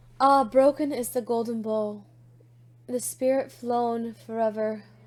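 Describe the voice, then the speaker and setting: A woman's high voice at a very slow pace with fairly even intonation. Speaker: poetry reader, video creator. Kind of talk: reading aloud. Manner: halting, frequent self-corrections.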